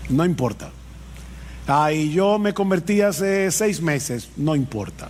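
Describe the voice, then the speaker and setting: A man's fairly high voice with lively intonation, a very slow pace and very even loudness. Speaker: pastor. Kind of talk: sermon.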